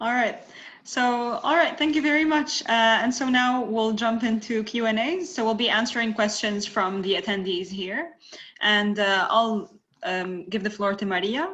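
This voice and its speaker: At a moderate pace, a woman with an Arabic accent speaks in a fairly high voice with lively intonation. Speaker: webinar moderator. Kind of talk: webinar moderation.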